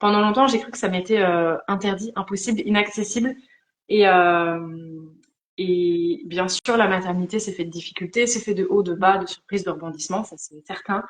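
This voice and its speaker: At a moderate pace, a woman speaks with a medium pitch and an unremarkable speaking voice. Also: ordinary pitch variation, big swings in loudness. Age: 30s. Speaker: life coach. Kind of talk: live interview conversation.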